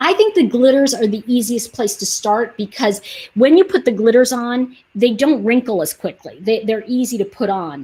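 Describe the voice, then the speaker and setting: Her fairly high, dark and mellow voice is somewhat breathy, and the woman speaks at a moderate pace with lively intonation. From New York. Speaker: online nail polish seller, channel host. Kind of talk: live stream product demo and chat. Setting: YouTube livestream. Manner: animated, chatty.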